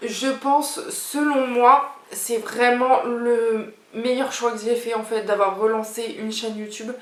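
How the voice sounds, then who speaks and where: Amid audible room echo and noticeable background noise, a woman speaks at a high pitch. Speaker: YouTuber. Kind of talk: casual vlog talk to camera. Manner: chatty, hesitant with fillers.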